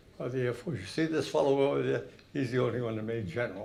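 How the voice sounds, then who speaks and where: Audible room echo surrounds a man speaking with an American accent and ordinary pitch variation. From Massachusetts, Haverhill. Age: 90s. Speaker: war veteran. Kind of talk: talk to an audience. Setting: hall with audience. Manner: halting.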